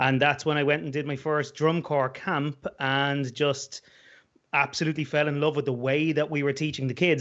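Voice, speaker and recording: Speaking with an Irish accent, a man uses a fairly high pitch. His intonation stays fairly even. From Ireland, Dublin. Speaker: musician and band director. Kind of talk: interview. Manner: halting.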